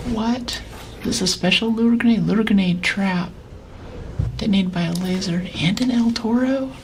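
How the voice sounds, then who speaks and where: At a moderate pace and with ordinary pitch variation, a woman speaks with long, frequent pauses, while noticeable background noise and audible room echo fill the recording. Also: medium pitch for a woman. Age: 60s. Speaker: streamer. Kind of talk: live gameplay commentary.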